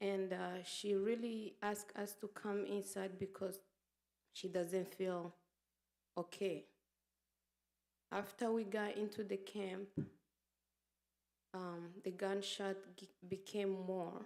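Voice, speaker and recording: A woman at a medium pitch, very slow in pace, with monotone, flat intonation and long, frequent pauses. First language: Kinyamulenge/Kinyarwanda. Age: 30s. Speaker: genocide survivor. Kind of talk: testimony. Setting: memorial event with audience. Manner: loud; halting.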